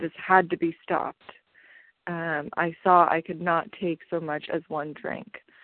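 Her pitch fairly low, a woman speaks at a fairly slow pace. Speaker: support group member. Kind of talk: testimony. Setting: phone call. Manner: halting, many fillers.

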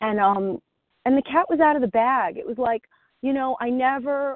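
Ordinary pitch variation runs through the speech. It is delivered with an American accent. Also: woman. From New Jersey. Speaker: twelve-step group member. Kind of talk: testimony. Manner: hesitant, many fillers.

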